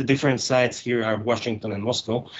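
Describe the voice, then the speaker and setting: A man speaks with a Hungarian accent. His intonation stays fairly even. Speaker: geopolitical analyst. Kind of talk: interview. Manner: halting, many fillers.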